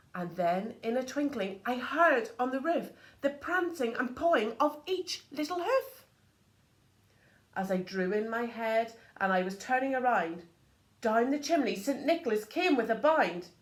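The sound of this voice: Speaking at a fairly slow pace with big pitch swings, a woman has a fairly high pitch, and the room echo is audible.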